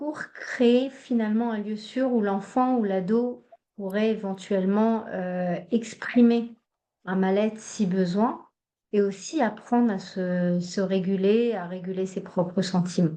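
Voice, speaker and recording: A woman with a Hebrew accent talks at a very slow pace. Her pitch is medium, with ordinary variation. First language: Hebrew (speaking French). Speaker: psychologist and trainer. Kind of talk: online training workshop. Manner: hesitant, many fillers.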